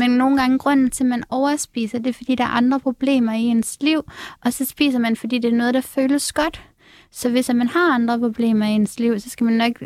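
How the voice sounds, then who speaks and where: A woman speaks in a high voice with monotone, flat intonation. The sound is dry and close, without any echo. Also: moderate pace. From Denmark, Aalborg. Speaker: TikTok creator and reality TV participant. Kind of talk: casual chat.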